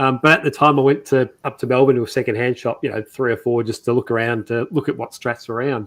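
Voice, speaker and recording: A man with an Australian accent and medium pitch rushes along at a very fast pace with hardly any pauses. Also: fairly even intonation. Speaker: guitar maker. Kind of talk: casual chat. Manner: halting.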